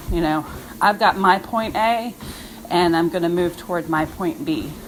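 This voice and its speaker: A woman's voice with ordinary pitch variation, set against noticeable background noise. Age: 50s. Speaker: fitness coach. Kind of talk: motivational monologue. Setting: outdoors on a walk. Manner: casual, conversational.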